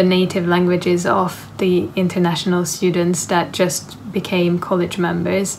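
Light background noise sits behind a woman speaking with a Hungarian accent at a moderate pace. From Hungary. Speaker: university student. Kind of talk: interview answer. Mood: calm, friendly, reflective. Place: home room. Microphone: phone near.

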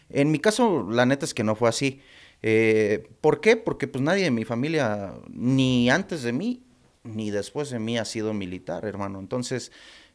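Delivered at a fairly slow pace, the speech has lively intonation against a quiet background. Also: man. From Mexico City, Iztapalapa; Mexico City. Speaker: former soldier and film director; podcast guest. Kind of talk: casual interview. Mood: relaxed, reflective. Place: studio. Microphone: studio mic.

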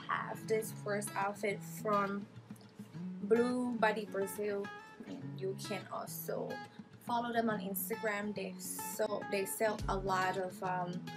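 A woman at a very slow pace, ordinary pitch variation, clear music in the background. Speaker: fashion vlogger. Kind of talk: casual vlog chat, try-on haul. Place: home room. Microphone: phone near.

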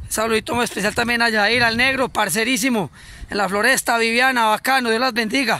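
A man with an Antioquian accent speaks in a raised, projected voice at a fairly quick pace, his pitch extremely high and his tone bright and sharp, in a dry recording with no echo. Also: fairly even intonation. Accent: Colombian paisa Spanish. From Colombia, Antioquia. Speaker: cyclist vlogger. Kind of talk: casual video greeting. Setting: outdoors. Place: open country. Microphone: phone near.

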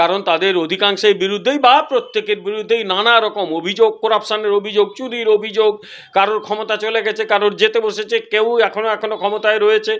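A high-pitched male voice in a flat monotone. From West Bengal, Purba Medinipur near Odisha border. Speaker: politician. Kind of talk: political interview.

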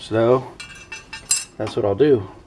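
The man's delivery is moderately paced. Behind him, background noise is noticeable. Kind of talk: tutorial. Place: garage.

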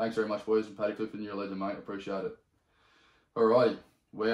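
A man with an Australian accent talks very fast at a fairly low pitch, with long, frequent pauses, big swings in loudness, audible room echo and a quiet background. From Sydney, Australia. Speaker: podcast host. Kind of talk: casual chat. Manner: animated. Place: home room.

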